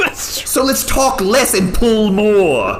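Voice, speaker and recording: A put-on character voice at a fairly high pitch, with clear background noise. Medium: actual play. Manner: impatient, bossy.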